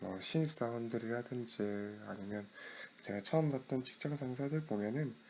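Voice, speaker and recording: Here a man speaks at a medium pitch and moderate pace. His tone is calm, with lively intonation. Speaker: internet radio DJ. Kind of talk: radio-style talk show. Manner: calm, friendly.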